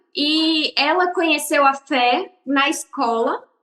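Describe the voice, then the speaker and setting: A woman talks with ordinary pitch variation. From Brazil, interior of São Paulo state and several cities. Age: 20s. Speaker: podcast guest, religious pioneer. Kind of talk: casual interview.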